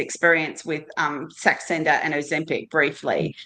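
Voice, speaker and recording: A woman's tone comes across bright and sharp. She has an Australian accent. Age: 60s. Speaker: GLP-1 medication user on a panel. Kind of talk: casual panel chat.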